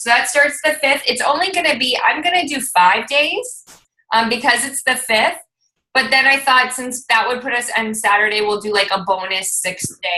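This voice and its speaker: Loud and bright with a sharp tone, a woman speaks at a high pitch. She keeps a moderate pace with very wide pitch swings. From Lebanese heritage. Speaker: fitness team coach. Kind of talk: team conference call. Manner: talkative, excited.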